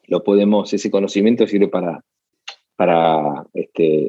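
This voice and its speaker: Spoken at a moderate pace, the voice keeps a fairly even intonation. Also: man. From Argentina, Buenos Aires. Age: 40s. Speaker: advertising agency founder. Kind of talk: interview. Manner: halting, many repetitions.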